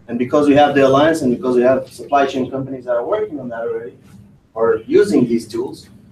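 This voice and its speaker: Somewhat breathy and dark, mellow in tone, a man speaks at a fairly quick pace and a fairly high pitch with ordinary pitch variation. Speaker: company presenter. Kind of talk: presentation. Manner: fast.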